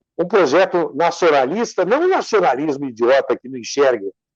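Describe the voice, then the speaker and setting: Recorded with a dry, close sound, no echo and a quiet background, a man speaks at a moderate pace with lively intonation. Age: 60s. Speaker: civil engineer and lawyer, interview guest. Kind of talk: interview, discussion. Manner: animated, emphatic.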